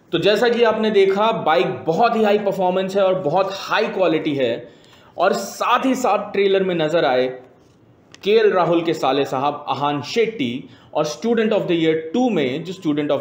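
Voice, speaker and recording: There is audible room echo as a man speaks. His pace is fairly slow. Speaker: comic film trailer reviewer. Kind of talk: mock review commentary. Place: office.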